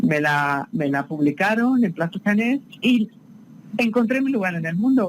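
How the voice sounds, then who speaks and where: A woman's speech moves at a fairly slow pace, her intonation lively. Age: 60s. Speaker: novelist. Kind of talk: interview. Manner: halting.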